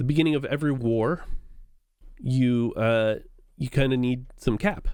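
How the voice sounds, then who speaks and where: Medium pitch from a man, an ordinary speaking voice, moderate pace and ordinary pitch variation. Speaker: flight sim gaming streamer. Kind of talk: gameplay tutorial commentary. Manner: casual with fillers.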